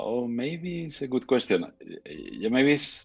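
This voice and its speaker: A man speaks with music in the background. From Spain. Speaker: architect and street photographer. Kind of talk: interview conversation. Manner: hesitant, many fillers.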